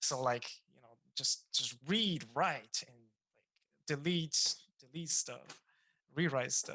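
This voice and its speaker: The speaker, with a non-native accent, goes at a very slow pace with long, frequent pauses. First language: not English. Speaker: game design student. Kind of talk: casual chat.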